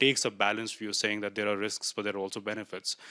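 A man rattles along at a very fast pace, the background quiet. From India. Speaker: audience member asking a question; audience member. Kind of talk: audience question. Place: hall. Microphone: handheld.

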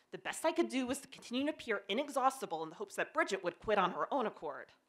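A woman with an American accent speaks with very wide pitch swings. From Pennsylvania. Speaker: development editor telling a personal story; presenter. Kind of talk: short presentation talk. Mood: humorous, lively. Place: stage. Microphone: handheld.

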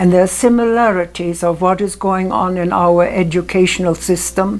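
A woman with a German accent speaks at medium pitch with ordinary pitch variation while music plays in the background. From Germany. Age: 80s+. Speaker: storyteller. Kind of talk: interview answer. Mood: earnest, reflective storytelling. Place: home room. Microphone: lapel.

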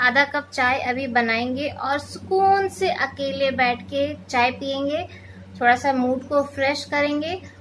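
A woman with a high pitch and ordinary pitch variation speaks very slowly over light background noise. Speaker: home vlogger. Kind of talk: casual vlog chat. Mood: relaxed, chatty. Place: home room. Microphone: phone near.

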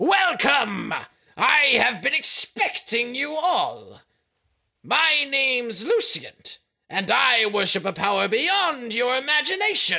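A man's raised, projected voice at an extremely high pitch, with very wide pitch swings, very even loudness and a fairly slow pace. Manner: charismatic, sneering.

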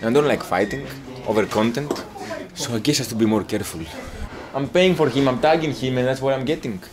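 A man in a Greek accent talks very fast with ordinary pitch variation and long, frequent pauses, over noticeable background noise. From Greece. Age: 20s. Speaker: travel vlogger. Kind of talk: casual vlog chat. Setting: outdoors. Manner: animated. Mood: wry, mildly complaining. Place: bar. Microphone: phone near.

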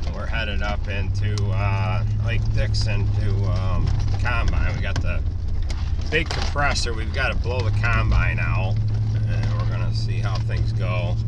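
Loud background noise fills the recording as a man talks fairly slowly. The sound is dry, without echo. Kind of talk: casual vlog chat. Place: car. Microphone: phone near.

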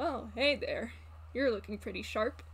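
Clear background noise sits under a put-on character voice speaking at a moderate pace. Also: man. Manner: smirking, teasing.

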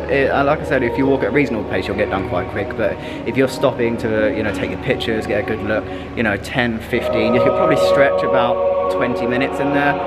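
A man talks at a very fast pace while clear music plays in the background. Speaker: travel vlogger. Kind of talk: casual vlog chat. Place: street. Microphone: phone near.

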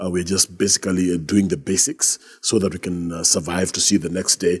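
Against a quiet background, a man with a very deep, low voice speaks with fairly even intonation. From Kenya. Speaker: bishop. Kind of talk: interview. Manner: hesitant fillers. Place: studio. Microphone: lapel.

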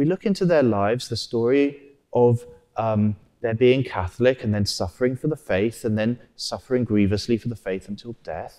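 A man's dark, mellow voice at a moderate pace, with ordinary pitch variation, over a quiet background. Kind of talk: homily at Mass. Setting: church. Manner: earnest, measured, teacherly; repetitive, reverent, rhetorical. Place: church. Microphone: lapel.

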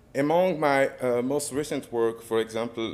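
Speaking with a French accent, a man keeps a fairly slow pace and ordinary pitch variation. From Democratic Republic of the Congo. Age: 30s. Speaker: photographer and multimedia artist. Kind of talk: lecture. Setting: stage with audience. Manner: halting.

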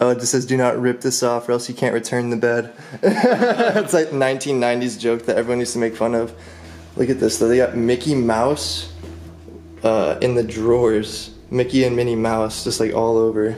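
The speech moves at a moderate pace with fairly even intonation, over light background noise. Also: man. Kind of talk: casual vlog chat. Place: empty room. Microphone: phone near.

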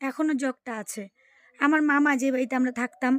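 A woman speaks at a high pitch in a dry, close sound with no echo. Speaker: family vlogger. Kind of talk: vlog voiceover narration. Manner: halting, stumbling over words.

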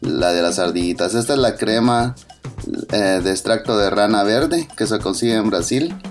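The speaker has a Central American accent. Music plays in the background. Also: man. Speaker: father doing comedic voiceover. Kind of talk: humorous makeup video voiceover. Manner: joking, playful.

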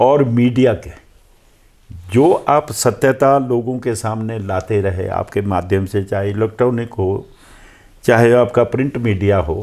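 With ordinary pitch variation, a man talks at a very slow pace over a quiet background. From Himachal Pradesh, Kullu; Himachal Pradesh. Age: 70s. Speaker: veteran politician; politician interviewee. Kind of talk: interview. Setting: at his residence. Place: home room. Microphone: lapel.

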